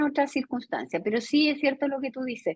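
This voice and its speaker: A woman speaks with a Chilean accent. Her pitch is high. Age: 60s. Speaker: educator and academic. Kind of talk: video conference lecture discussion. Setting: video call.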